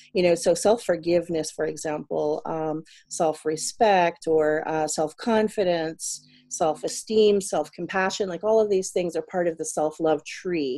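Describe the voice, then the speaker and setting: A woman with an American accent speaks at a fairly slow pace in a dark, mellow tone and fairly low pitch. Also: ordinary pitch variation. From US South (South Carolina). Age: 40s. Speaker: life coach and English teacher. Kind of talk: casual interview chat.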